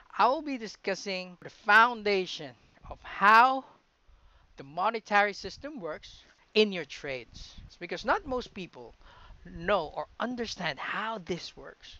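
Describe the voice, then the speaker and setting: A man with a high voice speaks fairly slowly, his intonation lively and his loudness swinging widely. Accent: American. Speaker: trading educator. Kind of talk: tutorial.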